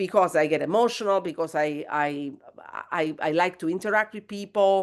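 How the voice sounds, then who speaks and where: Speaking at a moderate pace, a woman with an Italian accent has a fairly low pitch and ordinary pitch variation. The background is quiet. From southern Italy. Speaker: guest. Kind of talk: podcast interview. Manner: halting.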